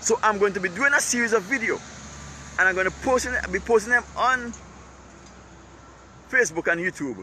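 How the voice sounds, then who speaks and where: A raised, projected voice at a fairly quick pace, with ordinary pitch variation, long, frequent pauses and noticeable background noise. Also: man, high pitch for a man. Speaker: online commentator. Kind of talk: live-stream monologue. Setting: outdoors. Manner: repetitive, emphatic.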